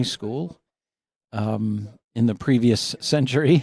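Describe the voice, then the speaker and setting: A fairly low-pitched man with an American accent. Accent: Massachusetts accent, comes out when tired. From Massachusetts, northeast of Boston. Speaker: university faculty member. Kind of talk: interview conversation.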